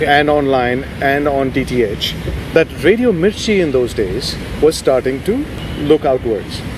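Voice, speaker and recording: Over noticeable background noise, a man with a fairly high voice speaks at a fairly slow pace. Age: 50s. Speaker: radio host. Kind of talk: interview answer.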